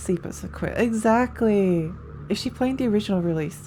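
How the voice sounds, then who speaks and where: The voice is somewhat breathy with a dark, mellow tone and moves at a moderate pace. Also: woman. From Australia. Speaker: video game streamer. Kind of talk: live gameplay stream chat. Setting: live stream. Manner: casual, repetitive.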